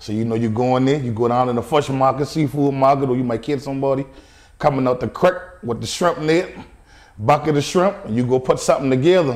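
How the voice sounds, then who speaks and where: A man's medium-pitched voice at a very fast pace with ordinary pitch variation, in a Charleston Lowcountry accent. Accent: Charleston Lowcountry accent, noticeable. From US South, Charleston area, South Carolina. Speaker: chef and restaurant owner. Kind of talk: interview.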